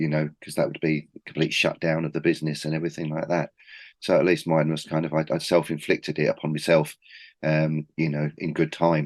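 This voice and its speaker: In a Cockney accent, a man with a very deep, low pitch speaks at a fairly quick pace with monotone, flat intonation, the sound dry and close with no echo over a quiet background. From East London. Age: 40s. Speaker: record label founder. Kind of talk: casual interview.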